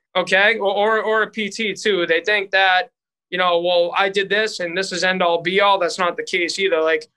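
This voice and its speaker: A man's raised, projected voice at a high pitch in a Boston accent, bright and sharp in tone, monotone with flat intonation, at a moderate pace against a quiet background. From Boston area, US. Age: 30s. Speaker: strength and conditioning coach. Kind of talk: interview conversation.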